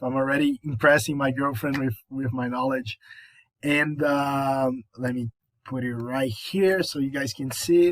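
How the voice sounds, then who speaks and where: A man with a Brazilian Portuguese accent and fairly high pitch, at a fairly slow pace with ordinary pitch variation, in a very clean recording with a silent background and a dry, close sound with no echo. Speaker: college student. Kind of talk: class presentation. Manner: halting, with fillers and repetitions.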